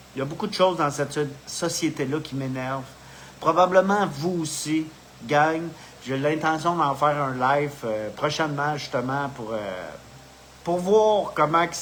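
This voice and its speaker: In a Quebec accent, a man speaks at a fairly slow pace with a fairly high pitch. His pitch varies in an ordinary way, and noticeable background noise is present. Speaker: spiritual video host. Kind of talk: casual live monologue. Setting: live video stream. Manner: halting, with many fillers.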